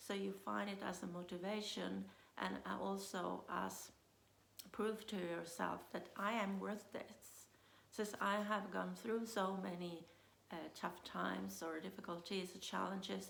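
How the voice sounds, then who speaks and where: Fairly slow speech with audible room echo. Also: woman. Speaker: business coach. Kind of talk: motivational talk. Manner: hesitant, many fillers.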